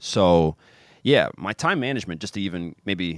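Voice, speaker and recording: The recording is very clean, with a silent background and a dry, close sound with no echo. A man speaks in a very deep, low voice. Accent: American. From US Midwest, Kansas City. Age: 30s. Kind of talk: casual interview. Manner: animated.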